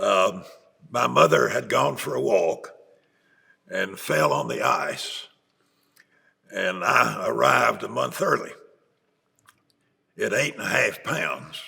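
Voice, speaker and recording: Long, frequent pauses break up a man's speech at a very slow pace. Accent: Appalachian. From East Tennessee / Holston region, US South. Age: 80s+. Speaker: retired bishop. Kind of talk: interview. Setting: sit-down interview in Chattanooga.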